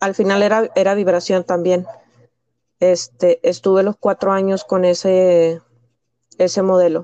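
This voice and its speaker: Speaking fairly slowly with long, frequent pauses, a woman has a dark, mellow tone, fairly even intonation and very even loudness in a dry, close sound with no echo. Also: medium pitch for a woman. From Mexico, Piedras Negras. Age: 30s. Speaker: special education teacher. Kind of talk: casual interview.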